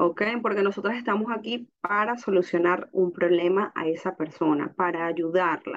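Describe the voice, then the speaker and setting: A woman with an unremarkable speaking voice talks at a moderate pace and medium pitch, with ordinary pitch variation. She leaves hardly any pauses. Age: 30s. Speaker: essential oils distributor. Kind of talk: casual chat.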